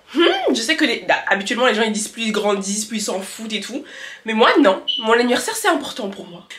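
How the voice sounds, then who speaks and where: Against noticeable background noise, a woman talks at a fairly quick pace in a fairly high voice with lively intonation. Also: big swings in loudness. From France, of Malian heritage. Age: 20s. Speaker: lifestyle vlogger. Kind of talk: casual talk to camera.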